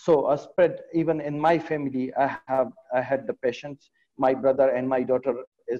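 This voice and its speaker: An Afghan accent at a moderate pace, fairly even intonation, against a quiet background. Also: man. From Afghanistan. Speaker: pediatric surgeon; panelist. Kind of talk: webinar presentation. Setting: video call. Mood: serious, concerned. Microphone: video call.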